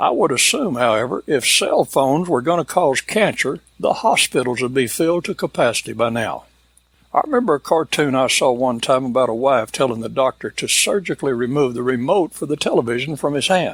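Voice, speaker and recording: Recorded with a dry, close sound and no echo, an ordinary speaking voice moves at a fairly quick pace with ordinary pitch variation. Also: man, medium pitch for a man. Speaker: cowboy storyteller and entertainer. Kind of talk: folksy humorous monologue to camera.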